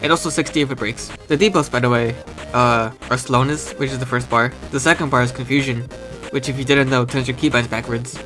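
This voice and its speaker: Over music in the background, a man speaks at a very fast pace with fairly even intonation. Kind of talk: casual game concept commentary. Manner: casual, relaxed.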